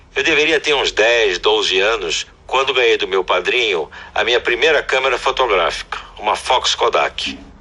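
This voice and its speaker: A man speaks at a moderate pace with very even loudness. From Brazil, Piauí (Northeast). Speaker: photographer. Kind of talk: interview testimony.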